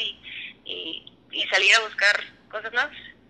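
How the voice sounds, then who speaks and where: Monotone, flat intonation in a woman's fairly high voice. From Mexico, Durango. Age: 20s. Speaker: business engineer. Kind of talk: casual chat. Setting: remote call.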